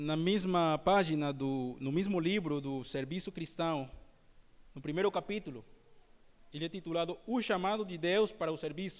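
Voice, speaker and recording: Recorded very cleanly with a silent background, a man with a non-native accent and a high voice speaks at a moderate pace with ordinary pitch variation. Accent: non-native, imperfect Portuguese. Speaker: preacher. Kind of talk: sermon.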